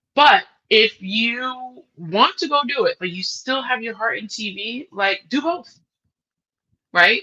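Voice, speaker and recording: A woman talks in an animated, bright, sharp tone, her pitch swinging very widely. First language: not English. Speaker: TV executive producer. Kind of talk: interview. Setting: live online workshop. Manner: casual, animated.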